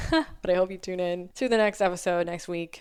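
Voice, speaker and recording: Her pitch fairly low, the woman talks at a fairly quick pace. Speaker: podcast host. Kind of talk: solo podcast monologue. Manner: animated.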